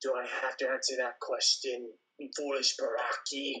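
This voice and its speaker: A man of medium pitch uses a put-on character voice at a moderate pace. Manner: sarcastic, dismissive.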